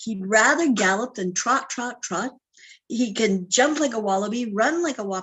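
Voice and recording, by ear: A passage is read aloud in a natural voice. Nothing but quiet sits behind it.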